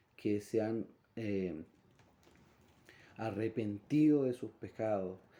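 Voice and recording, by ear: A man's slow, fairly low voice with a dark, mellow tone and ordinary pitch variation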